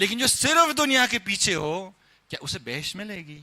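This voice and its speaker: A man with very wide pitch swings. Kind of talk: religious sermon (majlis) lecture.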